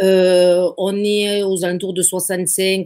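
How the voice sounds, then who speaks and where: Speaking at a very slow pace, a woman has a dark, mellow tone. Her intonation stays fairly even. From southern France, Occitanie (between Béziers and Sète). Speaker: real estate agency founder. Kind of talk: interview. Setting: live video stream. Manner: hesitant, many fillers and repetitions.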